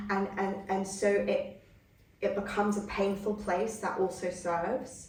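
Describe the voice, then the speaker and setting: In a room with audible echo, a woman at medium pitch speaks in a somewhat breathy voice with monotone, flat intonation. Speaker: psychotherapy trainer. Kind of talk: training lecture. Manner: halting, many false starts.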